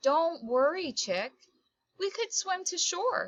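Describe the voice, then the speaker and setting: In a put-on character voice, the speaker goes at a fairly slow pace at an extremely high pitch, with very wide pitch swings. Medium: read story. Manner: calm, matter-of-fact.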